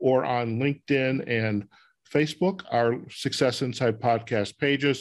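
A man with a plain, everyday voice speaks at a fairly slow pace, with medium pitch and ordinary pitch variation. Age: 60s. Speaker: podcast host. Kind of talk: interview; show outro.

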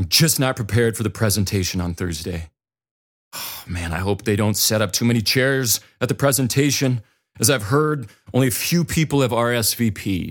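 Speaking with an American accent, a man uses a medium pitch, lively intonation and a moderate pace on a very clean recording with a silent background. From North or South Dakota. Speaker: podcast host and speaker for parents. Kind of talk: solo podcast monologue. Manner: casual and reflective.

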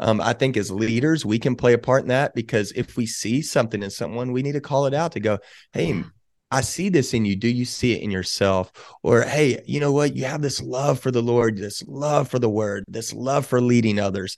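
An unremarkable speaking voice comes through in an American accent at a fairly quick pace. Pitch varies in an ordinary way, and the background is quiet. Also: man, medium pitch for a man. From Texas, Waco. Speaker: pastor and ministry leader. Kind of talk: casual interview chat.

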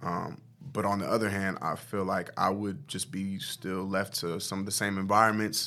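A man in a plain, everyday voice talks at a moderate pace and a fairly low pitch. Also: fairly even intonation, very clean recording, silent background. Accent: American. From US Midwest, Omaha, Nebraska. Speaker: mental health counselor. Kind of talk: interview. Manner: casual.

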